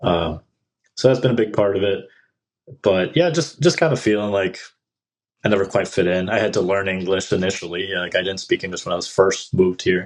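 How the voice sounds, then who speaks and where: Speaking with a Midwestern accent, a man talks at a fairly quick pace in a fairly low pitch with ordinary pitch variation. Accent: American Midwestern. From Mexico, raised in US Midwest. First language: Spanish. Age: 40s. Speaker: indie rock musician. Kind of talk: podcast interview.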